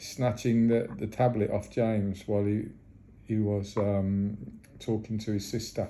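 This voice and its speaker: Amid audible room echo, a man with a dark, mellow tone and fairly low pitch speaks at a fairly slow pace in a monotone, flat intonation. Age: 60s. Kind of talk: phone call complaint. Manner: halting, many repetitions.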